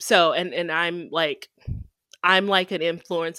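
A woman with an American accent speaks in a fairly low pitch and a bright, sharp tone. The recording is very clean, with a silent background. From Texas. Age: 30s. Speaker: content creator and e-commerce professional. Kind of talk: casual interview.

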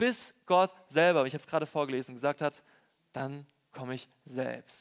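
With an unremarkable speaking voice, a man talks at a fairly quick pace with fairly even intonation. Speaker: preacher. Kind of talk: sermon. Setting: church with congregation. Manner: warm, personal, earnest preacher's delivery; conversational, direct address to congregation.

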